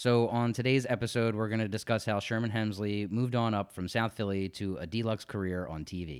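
At a fairly quick pace, a man with a fairly low pitch speaks in a plain, everyday voice with fairly even intonation. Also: very clean recording, silent background. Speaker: podcast host. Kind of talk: casual chat.

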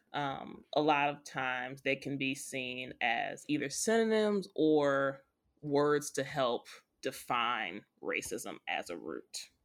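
A woman speaks at a very slow pace in a very deep, low voice with lively intonation. The recording is very clean, with a silent background. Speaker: podcast co-host. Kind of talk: casual chat.

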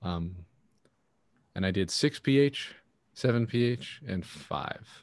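A man speaks at a very slow pace in a medium pitch. His intonation is lively. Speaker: podcast co-host. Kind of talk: casual chat.

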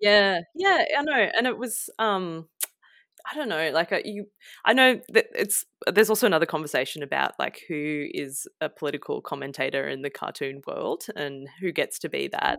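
A woman speaks at a moderate pace with an Australian accent. The recording is very clean with a silent background and a dry, close sound with no echo. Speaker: illustrator and environmental campaigner. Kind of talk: casual interview.

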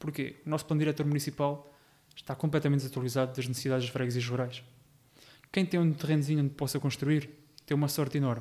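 The dark, mellow voice runs at a very fast pace with long, frequent pauses and monotone, flat intonation. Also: man, fairly high pitch for a man. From Portugal, Rio Maior area (Ribatejo). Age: 20s. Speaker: local election candidate. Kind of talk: podcast interview.

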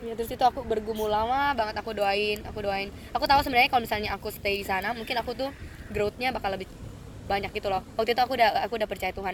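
A woman's fairly high voice at a very fast pace with fairly even intonation. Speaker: student. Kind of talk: casual chat.

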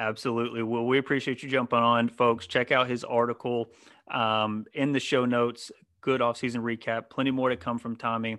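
This man speaks at a fairly quick pace. His medium pitch stays monotone and flat. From North Carolina. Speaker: sports podcast host. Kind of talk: casual chat.

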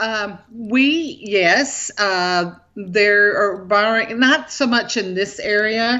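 A woman's fairly high voice at a very slow pace, with ordinary pitch variation. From Tennessee. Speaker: farmer and church women's group president. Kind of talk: casual interview.

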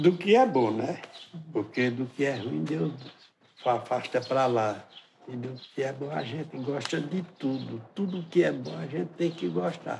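Noticeable background noise sits behind a man's medium-pitched voice. He speaks at a fairly slow pace with very wide pitch swings. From Pernambuco sertão, Brazil. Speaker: folk musician and samba percussion master. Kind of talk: interview.

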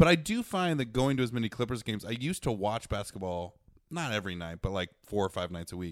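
A man with an American accent, fairly low pitch, very wide pitch swings and a very fast pace, on a very clean recording with a silent background. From US Midwest. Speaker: season ticket holder, sports fan. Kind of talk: casual chat.

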